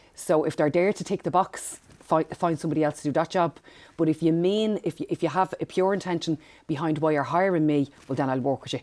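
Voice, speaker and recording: With a Dublin accent and a very deep, low pitch, a woman speaks at a fairly quick pace with fairly even intonation, on a very clean recording with a silent background and a dry, close sound with no echo. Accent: Dublin Irish. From Ireland, Dublin northside. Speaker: empowerment coach. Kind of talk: podcast interview.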